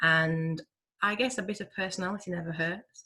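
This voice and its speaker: With a Yorkshire accent, a woman speaks at a fairly low pitch in a bright, sharp tone. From Yorkshire, northern England. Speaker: hospital pharmacist. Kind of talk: webinar Q&A answer.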